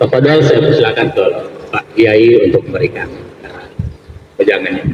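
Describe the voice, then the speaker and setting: There is noticeable background noise throughout. Through it, a man talks at a moderate pace. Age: young. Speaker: moderator and cultural figure. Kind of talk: panel discussion moderation. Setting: live event with audience. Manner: formal.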